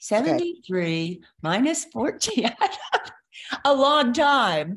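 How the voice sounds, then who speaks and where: The pitch swings very widely. The pace is very slow. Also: woman, high pitch for a woman. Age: 70s. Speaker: bereaved mother and sister. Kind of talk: casual chat. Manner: halting.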